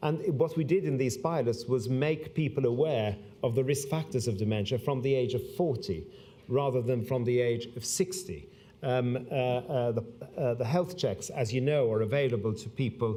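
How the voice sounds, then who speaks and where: With audible room echo behind him, a man talks at a moderate pace and medium pitch, using ordinary pitch variation. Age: 60s. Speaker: public health doctor. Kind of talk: conference speech. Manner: halting, many fillers.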